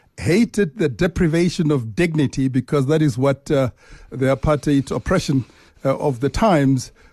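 A man with a fairly high pitch and a dark, mellow, somewhat breathy tone speaks at a moderate pace with lively intonation and very even loudness. The sound is dry and close with no echo, over a quiet background. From South Africa. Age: 50s. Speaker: bank chief executive. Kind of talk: interview. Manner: hesitant, many filler uhs.

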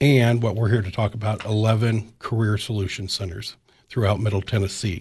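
A man speaks at a moderate pace with an American accent and a medium pitch. His voice is somewhat breathy and monotone, over a quiet background. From US Midwest, Illinois-Iowa border. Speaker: career coach. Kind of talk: radio interview.

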